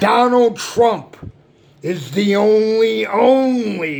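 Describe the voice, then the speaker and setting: Over noticeable background noise, a man talks in an animated tone. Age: 60s. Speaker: political commentator. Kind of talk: rant.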